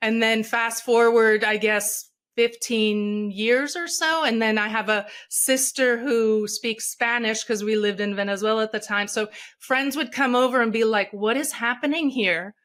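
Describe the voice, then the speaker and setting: A woman with a Portuguese accent and a fairly high pitch speaks in a very clean recording with a silent background. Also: ordinary pitch variation, moderate pace. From Brazil, Rio de Janeiro. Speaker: speaker and coach. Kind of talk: podcast interview.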